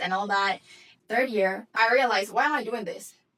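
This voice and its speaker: A woman with a Dominican accent speaks at a fairly high pitch. Her tone is bright and sharp, her intonation fairly even. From Dominican Republic. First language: Spanish. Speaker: business coach. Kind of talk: motivational talk.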